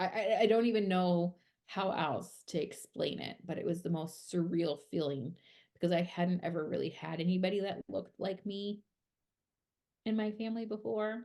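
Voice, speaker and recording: A woman with a strong Minnesotan accent speaks at a medium pitch in a dark, mellow tone. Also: ordinary pitch variation, moderate pace. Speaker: podcast co-host, PR worker in music. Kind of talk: casual chat.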